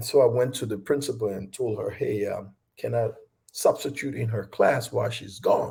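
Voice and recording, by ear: A man's medium-pitched voice at a moderate pace, with vocal fry, ordinary pitch variation and a slightly mellow tone.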